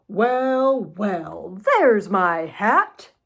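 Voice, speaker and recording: A woman's put-on character voice, medium in pitch, with lively intonation. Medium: read story. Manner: polite, courteous.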